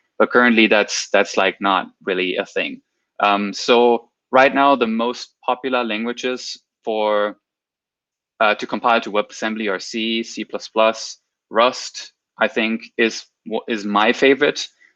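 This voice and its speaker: With a non-native accent, a man delivers his words at a fairly slow pace in a medium pitch, his intonation monotone and flat, his tone bright and sharp, and the sound dry and close with no echo. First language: not English. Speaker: software developer, guest speaker. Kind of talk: technical talk on livestream. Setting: livestream with chat. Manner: halting, many repeated words.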